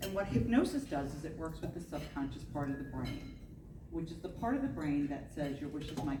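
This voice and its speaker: Words come very fast from this woman. Room echo is audible, and there is noticeable background noise. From New Jersey. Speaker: hypnotist and NLP practitioner. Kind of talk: panel discussion.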